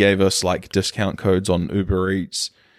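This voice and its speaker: A man with a fairly low pitch talks at a moderate pace in a very clean recording with a silent background and a dry, close sound with no echo. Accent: New Zealand. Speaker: podcast co-host. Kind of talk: casual chat.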